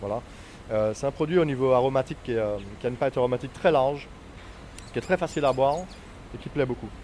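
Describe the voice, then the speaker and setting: A man speaks at a very fast pace with medium pitch and ordinary pitch variation. Long, frequent pauses break up his speech. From Martinique. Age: 40s. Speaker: rum distillery owner. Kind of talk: interview. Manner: halting, many hesitations.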